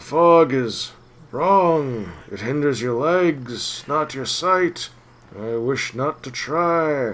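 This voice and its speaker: This is a put-on character voice at a very slow pace. The intonation is lively. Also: man, fairly high pitch for a man. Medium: game stream. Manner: cryptic, halting, fragmentary.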